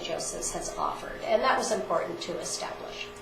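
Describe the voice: There is audible room echo around a woman speaking at a moderate pace with a fairly bright tone.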